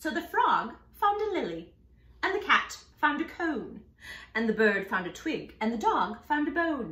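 A natural reading voice carries the clip. It reads the text aloud.

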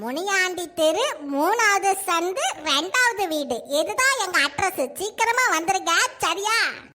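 A woman performs a cartoonish character voice at an extremely high pitch and a very slow pace. Light background noise can be heard. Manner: eager, helpful.

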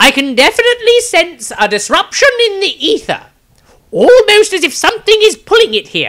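A man puts on a character voice at an extremely high pitch. His pace is moderate. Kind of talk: fantasy audiobook reading. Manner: pompous, rambling, lecturing.

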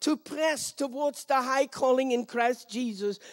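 A woman talks at a high pitch and a fairly slow pace. The background is quiet. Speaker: speaker. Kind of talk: prayer then sermon. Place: stage. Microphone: handheld.

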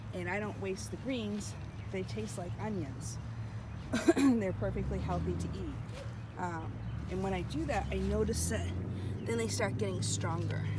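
Against loud background noise, a woman speaks at a moderate pace with long, frequent pauses, in a dry sound with no echo. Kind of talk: casual vlog chat. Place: garden. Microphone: phone near.

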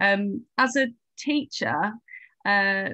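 Against a quiet background, a woman with a British accent speaks with lively intonation and a bright, sharp tone in a dry sound with no echo. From England. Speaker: teacher and education researcher. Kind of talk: casual interview. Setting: video call. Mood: thoughtful, earnest. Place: home room. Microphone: video call.

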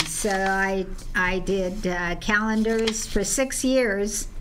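A woman's fairly even intonation against noticeable background noise. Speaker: guest. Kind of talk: interview answer. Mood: amused, storytelling. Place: studio. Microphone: studio mic.

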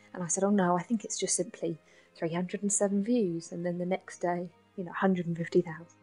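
Over music in the background, a woman speaks at a medium pitch with fairly even intonation. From south London. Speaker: nurse and spoken word poet. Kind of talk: interview answer.

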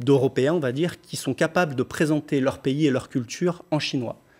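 Faint music plays in the background. A man talks at a medium pitch. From France, Lyon; France. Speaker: pop singer; interviewee. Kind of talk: TV interview. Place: studio.

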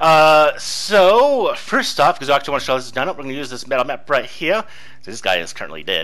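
Racing along at a very fast pace, the voice has a bright, sharp tone with vocal fry, very wide pitch swings and big swings in loudness. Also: man, fairly high pitch for a man. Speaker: game master. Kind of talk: tabletop roleplaying narration. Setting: online voice chat. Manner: casual, laughs often.

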